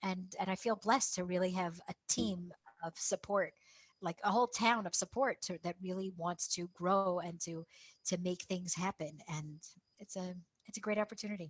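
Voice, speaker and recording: A woman with an American accent, medium in pitch, somewhat breathy, at a moderate pace with fairly even intonation. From USA. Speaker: town council head. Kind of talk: interview. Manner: repetitive, halting.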